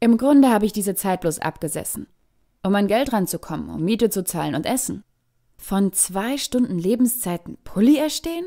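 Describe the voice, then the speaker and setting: Her medium-pitched voice is animated, with lively intonation at a moderate pace. The woman is recorded very cleanly against a silent background, with a dry, close sound and no echo. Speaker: slam poet. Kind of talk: slam poetry performance, rhymed monologue with a sarcastic, argumentative tone. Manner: animated, sarcastic, rhythmic rhyming delivery; conversational, indignant, with pointed irony.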